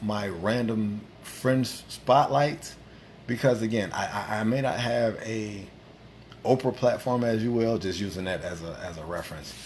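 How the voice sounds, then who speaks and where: There is audible room echo as a man speaks at a medium pitch and a fairly slow pace, with ordinary pitch variation. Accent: American. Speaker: livestream host. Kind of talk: casual chat. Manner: animated.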